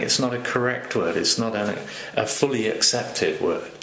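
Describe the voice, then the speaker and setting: Moderate pace from a man, with noticeable background noise and audible room echo. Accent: British. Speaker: language consultant and slang lexicographer. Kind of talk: interview talk. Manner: hesitant, many fillers.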